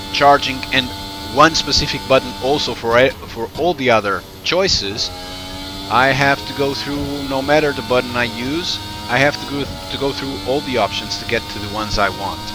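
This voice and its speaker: Music plays behind a man speaking with a non-native accent. His medium-pitched voice moves at a moderate pace with ordinary pitch variation. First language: not English. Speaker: sim racing reviewer. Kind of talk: commentary over gameplay footage. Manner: halting, many fillers and restarts.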